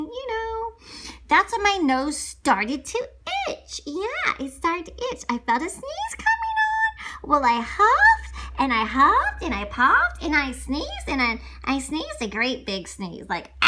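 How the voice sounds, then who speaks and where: A squeaky, high-pitched put-on character voice from a woman, raised and projected. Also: moderate pace. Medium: read story. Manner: chatty, casual, lots of fillers.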